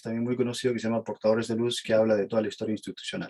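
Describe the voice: A man talks at a very fast pace. His tone is slightly mellow.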